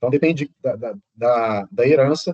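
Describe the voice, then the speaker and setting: A man's fairly high voice, dark and mellow in tone, with lively intonation and a fairly quick pace. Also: dry, close sound with no echo. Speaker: professor. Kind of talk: lecture. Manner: fast.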